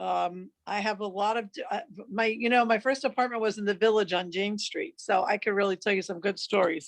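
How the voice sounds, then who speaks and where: She speaks with a New York accent. Her voice is fairly high in pitch. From New York City (Washington Heights). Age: 60s. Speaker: psychiatric nurse practitioner. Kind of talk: interview. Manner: casual, filler-heavy.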